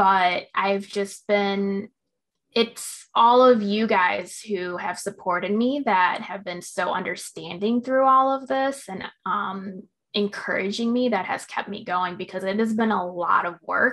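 A woman's plain, everyday voice with an American accent, medium pitch, ordinary pitch variation and a fairly slow pace. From Illinois. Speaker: crafts business owner. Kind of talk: casual interview chat.

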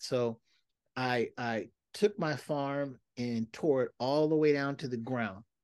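A man speaks in an unremarkable speaking voice at medium pitch, with ordinary pitch variation over a quiet background. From Seattle, US Pacific Northwest. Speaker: community activist and urban farmer. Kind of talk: casual interview.

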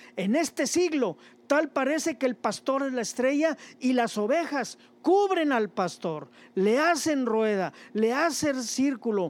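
Very slow speech on a very clean recording, background silent. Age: 60s. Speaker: preacher. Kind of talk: sermon. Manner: halting.

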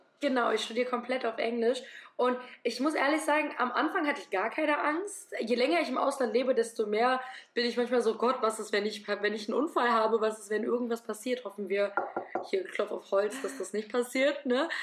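A woman's high voice moves at a fairly quick pace. Noticeable background noise sits behind her. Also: ordinary pitch variation. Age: 20s. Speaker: medical student. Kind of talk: casual interview. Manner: animated.

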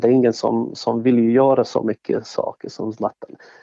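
A man with a Bosnian accent. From Bosnia and Herzegovina (Sarajevo). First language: Bosnian (speaking Swedish). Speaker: event organizer, former strip club owner. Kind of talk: interview. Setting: studio. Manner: halting, many fillers and repetitions.

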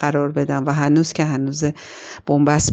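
Against a quiet background, a woman with a very deep, low pitch speaks at a moderate pace. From Iran, Tehran. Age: 40s. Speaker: film critic and screenwriter. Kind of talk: personal narrative. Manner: halting.

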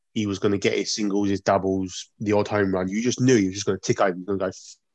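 In a British accent, a man speaks at a fairly low pitch, with a dry, close sound and no echo. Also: quiet background. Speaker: podcast co-host. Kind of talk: casual chat.

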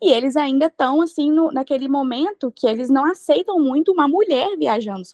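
Her intonation is lively and her pace moderate. The woman's sound is dry and close, with no echo. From Brazil. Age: 20s. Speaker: traveler. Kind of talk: interview.

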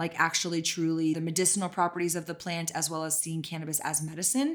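A woman with an American accent has an unremarkable speaking voice, fairly low in pitch with fairly even intonation, in a very clean recording with a silent background. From Texas. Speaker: CBD company co-founder and podcast host. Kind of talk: casual interview.

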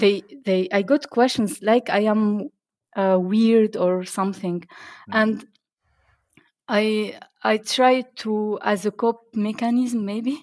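At a very slow pace, a woman with an Arabic accent speaks in a fairly high pitch with fairly even intonation. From Tunisia. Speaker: software developer and conference speaker. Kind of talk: interview. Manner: halting, many fillers.

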